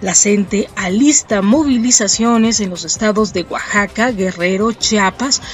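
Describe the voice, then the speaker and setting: A woman speaks at a very slow pace with ordinary pitch variation. The sound is dry with no echo, and faint music plays behind her. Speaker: news host. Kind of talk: news reading. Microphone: webcam.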